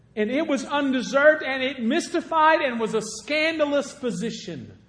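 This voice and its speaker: At a fairly slow pace, a man with an American accent speaks at an extremely high pitch with ordinary pitch variation. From southern Illinois. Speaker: guest preacher. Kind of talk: sermon. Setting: church.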